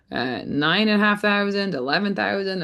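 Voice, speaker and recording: In a Scottish accent, a woman speaks at medium pitch with lively intonation and a moderate pace. The background is quiet. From Scotland. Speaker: rancher and farm marketing coach. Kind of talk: webinar workshop presentation.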